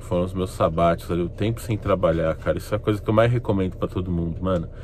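Very fast and very deep, a man's low voice runs with ordinary pitch variation. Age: 30s. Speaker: YouTuber. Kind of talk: casual vlog monologue. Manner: animated.

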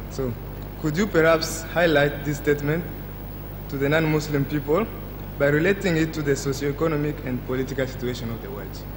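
With noticeable background noise, a man speaks at a fairly quick pace. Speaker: audience member asking questions; audience member. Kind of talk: audience question. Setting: stage with audience. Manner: halting. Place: hall. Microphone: podium.

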